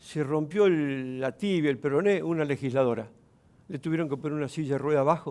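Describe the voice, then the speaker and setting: Using an ordinary speaking voice, a man talks at a fairly quick pace, pitched fairly high, with ordinary pitch variation. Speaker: provincial legislator. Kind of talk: TV interview.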